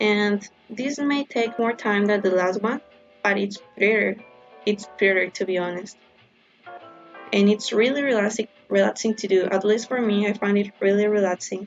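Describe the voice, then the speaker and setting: A woman speaks with a non-native accent over music in the background. Her intonation stays fairly even. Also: medium pitch for a woman, moderate pace. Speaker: stationery and study notes creator. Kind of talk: casual tutorial voiceover.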